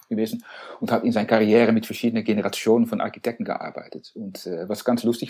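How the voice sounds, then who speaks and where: Here a man speaks at a medium pitch with ordinary pitch variation. His tone is dark and mellow. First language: Dutch (speaking German). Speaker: architect, co-founder of an architecture firm. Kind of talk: interview. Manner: halting, many fillers and repetitions.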